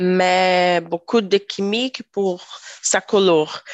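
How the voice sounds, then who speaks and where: A woman speaks very slowly in a Brazilian accent. Her medium-pitched voice keeps a fairly even intonation. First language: Portuguese (speaking French). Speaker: tech worker. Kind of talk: casual discussion. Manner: halting.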